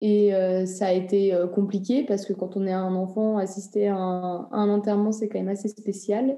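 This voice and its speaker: Her pitch medium and her intonation monotone and flat, a woman speaks at a moderate pace with hardly any pauses. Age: 20s. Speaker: interviewee sharing views on death. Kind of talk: interview testimony.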